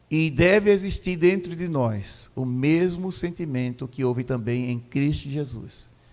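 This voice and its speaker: A man with a normal speaking voice, fairly high-pitched, lively intonation, fairly slow pace with hardly any pauses. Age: 60s. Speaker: pastor. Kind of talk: sermon. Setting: church.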